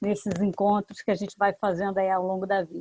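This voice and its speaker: A woman's unremarkable speaking voice, medium in pitch, at a moderate pace. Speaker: professor and seminar moderator. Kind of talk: academic seminar introduction.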